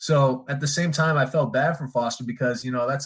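Talking at a very fast pace with an American accent, a man of medium pitch uses ordinary pitch variation. His voice is somewhat breathy. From Michigan, East Lansing area. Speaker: former college basketball player. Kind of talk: casual chat.

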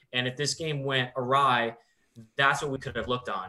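A man speaks with a bright, sharp tone at medium pitch. His pace is fairly quick. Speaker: baseball commentator. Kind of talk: casual sports discussion.

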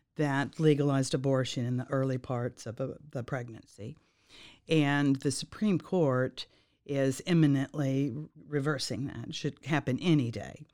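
With an American accent, a woman speaks at a very deep, low pitch in a dark, mellow tone and fairly even intonation, the recording very clean and the background silent. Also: moderate pace. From Dallas, Texas. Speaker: political candidate and attorney. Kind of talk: interview.

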